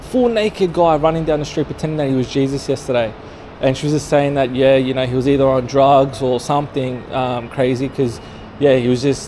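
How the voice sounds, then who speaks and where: At a fairly quick pace, the speaker keeps a fairly even intonation over light background noise. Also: man. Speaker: street vlogger. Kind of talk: casual vlog chat. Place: street. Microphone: phone near.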